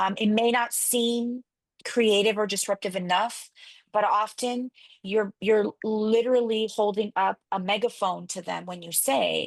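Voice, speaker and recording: Against a quiet background with a dry, close sound and no echo, a woman speaks at a fairly slow pace with a fairly high pitch, fairly even intonation and big swings in loudness. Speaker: pastor. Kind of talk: interview.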